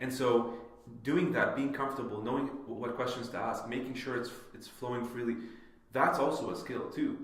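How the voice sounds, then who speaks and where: Energetic, fairly quick speech from a man, with audible room echo and noticeable background noise. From Canada (immigrated as child; grew up partly in Saudi Arabia). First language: not English (English was his third language). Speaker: podcaster and public speaker. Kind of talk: podcast interview. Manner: casual, energetic.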